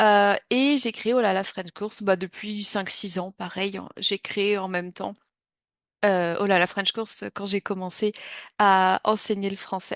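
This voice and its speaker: A woman speaks at a very slow pace and medium pitch in a monotone, flat intonation. The sound is dry and close with no echo, against a quiet background. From France. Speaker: French teacher. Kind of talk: online class introduction. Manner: hesitant, many fillers.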